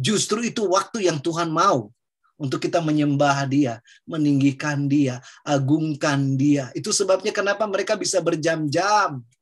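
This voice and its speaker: A man with a Papuan accent speaks at a fairly high pitch and a moderate pace. His pitch varies in an ordinary way against a quiet background. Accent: Papuan Indonesian. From Papua, Indonesia. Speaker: preacher. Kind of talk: Bible teaching discussion.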